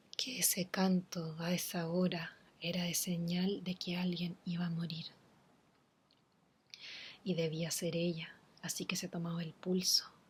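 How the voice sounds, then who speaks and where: A woman's soft-spoken whispering, somewhat breathy, at a fairly slow pace with long, frequent pauses. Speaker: ASMR reader / content creator. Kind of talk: ASMR horror story reading. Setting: home recording with humidifier nearby. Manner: soft-spoken, whispery.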